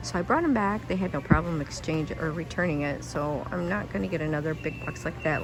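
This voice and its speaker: A woman with a very deep, low pitch speaks quietly with lively intonation. Audible room echo and noticeable background noise fill the recording. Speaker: YouTube shopping vlogger. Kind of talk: shopping haul vlog. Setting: inside a store, walking through aisles. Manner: quiet, lowered voice; casual with many fillers.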